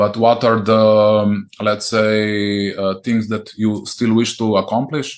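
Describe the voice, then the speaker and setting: In a Slovene accent, the voice moves at a very slow pace with monotone, flat intonation. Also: man, fairly low pitch for a man. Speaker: podcast host. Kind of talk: interview. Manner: halting.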